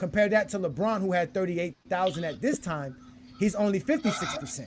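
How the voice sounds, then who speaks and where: Speaking at a fairly quick pace, a man uses lively intonation in a high pitch. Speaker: sports podcast host. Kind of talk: sports debate discussion. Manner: fast.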